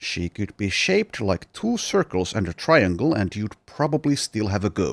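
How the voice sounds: Lively intonation marks this clip. It is a natural reading voice.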